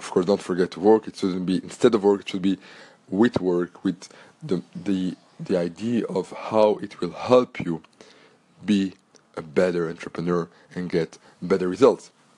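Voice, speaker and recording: Very deep and low, a man's voice moves in big swings of loudness with fairly even intonation and long, frequent pauses. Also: moderate pace. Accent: French. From Belgium. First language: French. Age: 30s. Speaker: podcast host and entrepreneur. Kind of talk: solo podcast monologue.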